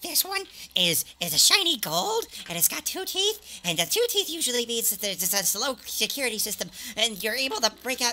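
A put-on character voice with a fairly high pitch swings very widely in pitch at a moderate pace. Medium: actual play. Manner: manic, rambling, eager; faintly smiling, chirpy shopkeeper greeting.

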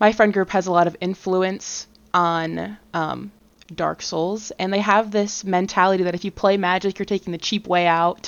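Speaking fairly slowly, a woman uses a plain, everyday voice at medium pitch with fairly even intonation. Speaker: guest, PR professional and gamer. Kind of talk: casual podcast chat.

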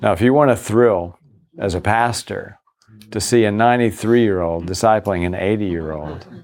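A man with a fairly low pitch speaks at a moderate pace in an unremarkable speaking voice. His pitch variation is ordinary. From US South, Virginia. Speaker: pastor. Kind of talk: conference workshop talk.

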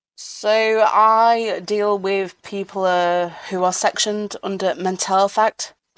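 Very slow, with hardly any pauses, a woman in a Yorkshire accent at medium pitch with monotone, flat intonation. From Sheffield, South Yorkshire. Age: 30s. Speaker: mental health support worker. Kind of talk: personal testimony in interview. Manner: halting, many repetitions and fillers.

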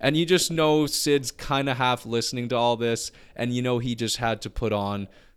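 This is a normal speaking voice from a man at a moderate pace, with ordinary pitch variation. The recording is very clean, the background silent. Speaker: podcast co-host. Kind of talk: angry rant, swearing and insulting a clickbait writer. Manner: furious, loud, exasperated, spitting out insults.

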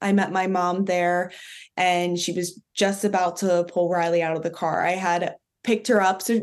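The speaker has a Philadelphia accent. The background is quiet. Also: woman. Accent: Philadelphia American. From Philadelphia, US. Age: 20s. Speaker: dog owner sharing a spiritual story. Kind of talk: interview testimony.

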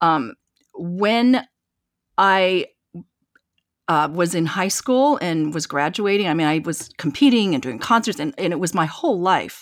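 With an American accent, a woman speaks at a fairly slow pace in a fairly low pitch, her pitch swinging very widely between long, frequent pauses. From eastern Washington, US. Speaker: concert pianist and entrepreneur. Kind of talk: interview.

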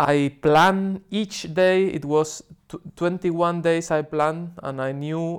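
With a Spanish accent, a man speaks at a very slow pace, his intonation fairly even. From Spain, Seville. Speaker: cycling tourist. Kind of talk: casual interview.

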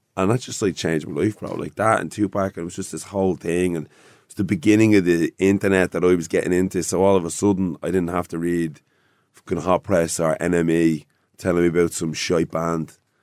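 In an Irish accent, a man with a very deep, low pitch speaks at a fairly quick pace, recorded very cleanly with a silent background and a dry, close sound with no echo. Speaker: rapper. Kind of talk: casual interview chat.

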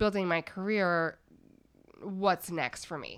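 A woman with a Canadian accent has an ordinary speaking voice, medium in pitch at a moderate pace. The recording is very clean, with a silent background. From Montreal, Canada. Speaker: venture capital investor. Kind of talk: interview.

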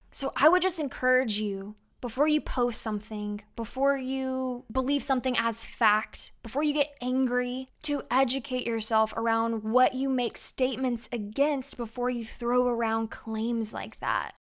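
The speech moves at a fairly slow pace with hardly any pauses and fairly even intonation, on a very clean recording with a silent background. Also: woman, high pitch for a woman. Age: 20s. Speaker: podcast host. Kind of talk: personal testimony monologue.

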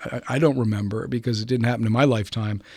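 A man's plain, everyday voice, medium in pitch with fairly even intonation, on a very clean recording with a silent background. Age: 60s. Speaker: lawyer. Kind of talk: interview discussion.

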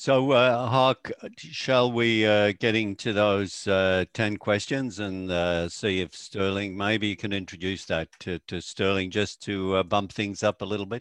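An ordinary speaking voice at a fairly slow pace, with fairly even intonation, hardly any pauses, and a dry, close sound with no echo. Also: man, fairly low pitch for a man. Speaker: photography business coach, co-host. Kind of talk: casual interview chat.

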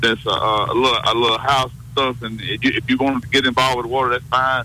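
Noticeable background noise sits under a man talking at a very fast pace. His medium-pitched voice has monotone, flat intonation. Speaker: caller.

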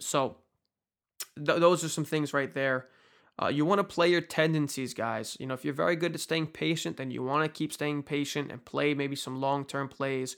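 In a very clean recording with a silent background, a man speaks at a moderate pace with a fairly high pitch. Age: 20s. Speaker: investing YouTuber. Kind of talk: casual monologue to camera. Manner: animated.

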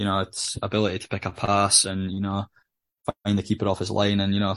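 Speaking with a northeast Scottish accent, a man talks at a fairly quick pace with a fairly low pitch and monotone, flat intonation. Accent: Scottish (north-east). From Scotland, Aberdeen. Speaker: footballer. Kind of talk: interview.

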